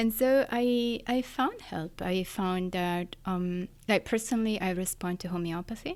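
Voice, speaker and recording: In a very clean recording with a silent background, a woman with an Italian accent talks with hardly any pauses and ordinary pitch variation. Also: medium pitch for a woman, fairly slow pace. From Italy, Florence. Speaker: neuroscientist. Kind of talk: interview.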